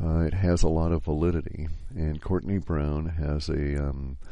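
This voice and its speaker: A man speaks quietly in a dark, mellow tone with ordinary pitch variation. Audible room echo surrounds his voice. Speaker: podcast host. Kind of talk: solo podcast monologue. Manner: quiet, hushed; halting, many fillers.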